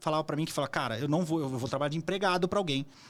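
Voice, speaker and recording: A normal speaking voice from a man, fairly high in pitch with ordinary pitch variation, on a very clean recording with a silent background. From Brazil. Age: 40s. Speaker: entrepreneur and investor. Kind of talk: interview conversation. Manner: casual, with fillers and repetitions.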